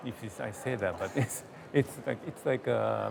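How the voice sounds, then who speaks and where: Through noticeable background noise, a man with a Japanese accent speaks at a fairly low pitch. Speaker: gallerist. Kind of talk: interview. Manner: halting.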